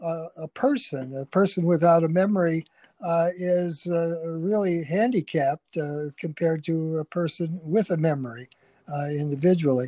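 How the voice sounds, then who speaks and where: Speaking at a fairly slow pace with a Chicago accent, a man has a high pitch, ordinary pitch variation and a dark, mellow tone, heard in a dry, close sound with no echo. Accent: Chicago-area American. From US Midwest, Chicago Heights, Illinois. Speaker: historian. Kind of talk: interview. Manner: halting.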